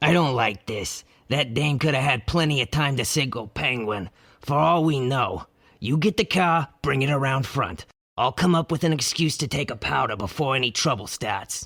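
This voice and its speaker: In a very clean recording over a silent background, a man does a put-on character voice at a medium pitch, raspy and lively in intonation, at a moderate pace. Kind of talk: 1940s gangster slang. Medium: audio drama.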